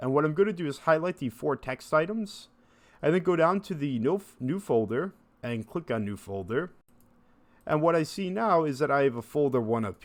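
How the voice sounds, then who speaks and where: At a moderate pace, a man with a normal speaking voice talks in a fairly high pitch with lively intonation. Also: quiet background. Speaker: instructor. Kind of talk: tutorial.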